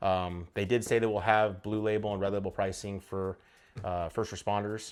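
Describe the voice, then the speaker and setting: Over a very clean recording with a silent background, a man speaks at a fairly low pitch in a monotone, flat intonation. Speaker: firearms YouTuber. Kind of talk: casual talk-to-camera review. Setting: home studio. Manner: fast; thinking out loud, filler-heavy.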